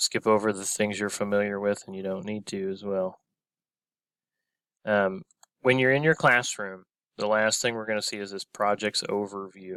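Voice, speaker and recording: Bright, sharp tone from a man at a fairly low pitch, with big swings in loudness, fairly even intonation, a moderate pace and long, frequent pauses, dry and close with no echo on a very clean recording with a silent background. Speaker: teacher. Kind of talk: tutorial.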